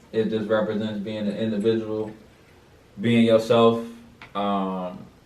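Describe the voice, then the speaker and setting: A man speaks at a fairly slow pace in a fairly low, monotone, flat voice, with audible room echo. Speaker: podcast host. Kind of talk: casual chat.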